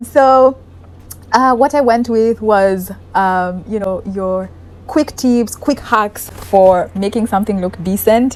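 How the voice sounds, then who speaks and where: A woman talks very slowly while noticeable background noise carries on behind her. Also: fairly high pitch for a woman, ordinary pitch variation. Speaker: lifestyle vlogger. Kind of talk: casual apartment tour vlog. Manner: sped-up playback, naturally slow talker.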